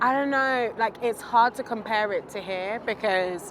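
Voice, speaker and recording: A woman talks at a moderate pace. There is noticeable background noise. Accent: British. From UK. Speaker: interviewee. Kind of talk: interview. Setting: outdoors, walking.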